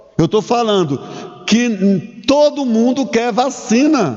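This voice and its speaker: Noticeable background noise sits behind a man speaking at a very slow pace. His pitch is extremely high, with ordinary pitch variation. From Brazil, Minas Gerais (Curvelo). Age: 60s. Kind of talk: sermon. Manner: halting, with restarts and fillers.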